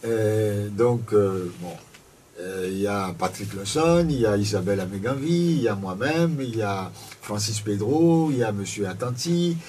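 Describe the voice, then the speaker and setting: Fairly low-pitched male speech at a fairly slow pace, lively in intonation, with noticeable background noise and audible room echo. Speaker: political party spokesman. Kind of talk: radio debate interview. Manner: quiet, voice does not carry; hesitant, repeats words. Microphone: too quiet on air.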